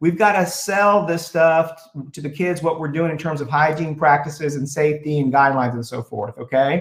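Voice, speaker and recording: A man with an American accent has a normal speaking voice. It sits at a fairly high pitch and moves at a moderate pace. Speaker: school district superintendent. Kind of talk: public board meeting presentation.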